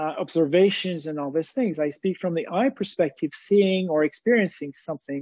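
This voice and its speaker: A man with a French accent talks in a high pitch with ordinary pitch variation. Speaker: activist thinker on economy and society. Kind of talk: interview. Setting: live video webinar. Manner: halting, many fillers.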